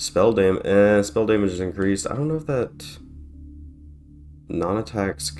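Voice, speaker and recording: A fairly low-pitched male voice at a fairly slow pace, with lively intonation and music in the background. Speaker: gaming YouTuber. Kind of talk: casual gameplay commentary.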